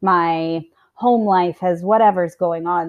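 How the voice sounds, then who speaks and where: A woman with a normal speaking voice and an American accent talks at a fairly slow pace and a medium pitch. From US, Montana. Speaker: fitness and nutrition coach, business owner. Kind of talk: interview.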